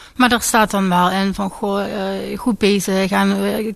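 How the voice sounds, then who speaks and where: Against a quiet background, a woman talks at a medium pitch. Her pace is fairly slow. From Limburg, Netherlands. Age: 20s. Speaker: patient in treatment. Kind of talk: radio interview.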